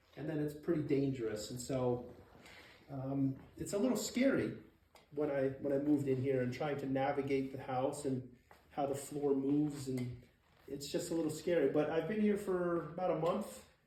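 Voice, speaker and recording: Noticeable background noise accompanies a man speaking at a moderate pace. His pitch is fairly high with ordinary pitch variation. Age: 40s. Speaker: person living with muscular dystrophy. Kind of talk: casual talk to camera.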